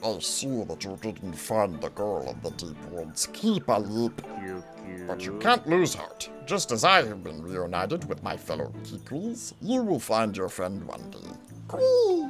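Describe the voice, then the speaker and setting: A put-on character voice speaks at a fairly slow pace while clear music plays in the background. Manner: warm, wise.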